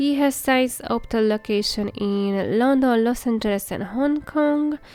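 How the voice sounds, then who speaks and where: With music in the background, a woman speaks at a fairly slow pace in a high voice with ordinary pitch variation. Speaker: Sims game builder YouTuber. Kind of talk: casual narration over gameplay. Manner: halting, with many fillers and restarts.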